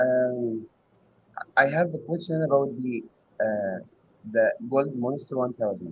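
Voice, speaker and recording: A man talks at a fairly slow pace in a medium pitch with ordinary pitch variation. Long pauses come often. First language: not English. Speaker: hobby metal detectorist caller. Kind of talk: casual Q&A on live show. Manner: halting.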